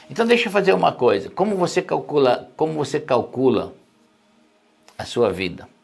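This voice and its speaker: A fairly high-pitched man at a moderate pace, with very wide pitch swings and long, frequent pauses. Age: 60s. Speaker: pastor. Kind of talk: sermon. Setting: live stream.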